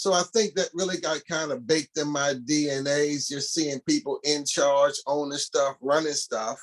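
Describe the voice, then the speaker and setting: The speech has fairly even intonation and a moderate pace with hardly any pauses, in a dry, close sound with no echo. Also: man, fairly high pitch for a man. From US, East Baltimore, Maryland. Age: 60s. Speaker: historian. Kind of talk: interview. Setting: podcast.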